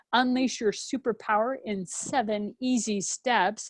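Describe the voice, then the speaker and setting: Speaking at a moderate pace, a woman uses a normal speaking voice with fairly high pitch and fairly even intonation. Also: dry, close sound with no echo. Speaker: podcast interviewer. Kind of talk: show introduction.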